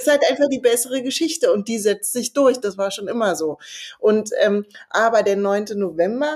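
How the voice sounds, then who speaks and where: This woman has a normal speaking voice and talks at a fairly quick pace. Her pitch variation is ordinary. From East Berlin. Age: 40s. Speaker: author and columnist. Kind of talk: casual interview conversation.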